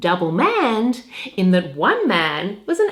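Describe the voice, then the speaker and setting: A woman speaks at a fairly slow pace with an Australian accent. Her pitch swings very widely, and noticeable background noise is present. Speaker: voice-over artist and audiobook narrator. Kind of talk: humorous talk about her work.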